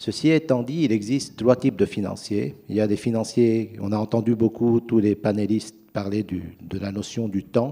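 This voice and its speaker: A man with a non-native accent speaks at a medium pitch with a dark, mellow tone, ordinary pitch variation and hardly any pauses. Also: moderate pace. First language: not French (speaking French). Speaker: private equity investor. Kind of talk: panel discussion.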